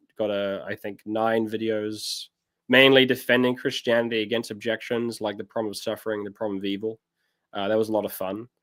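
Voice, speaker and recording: Speaking fairly quickly in a New Zealand accent, a man holds a medium pitch with monotone, flat intonation on a very clean recording with a silent background. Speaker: pastor. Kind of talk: casual chat.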